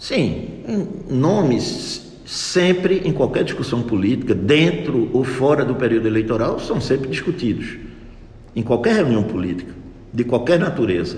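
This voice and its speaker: Against audible room echo, a man speaks at a fairly slow pace with very wide pitch swings. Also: medium pitch for a man. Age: 60s. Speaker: local party official and physician. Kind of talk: radio interview.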